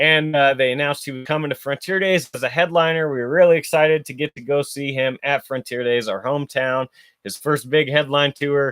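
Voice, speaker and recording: A man talks at a fairly quick pace in an unremarkable speaking voice. His pitch is fairly high for a man, with fairly even intonation. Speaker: podcast host. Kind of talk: casual podcast monologue.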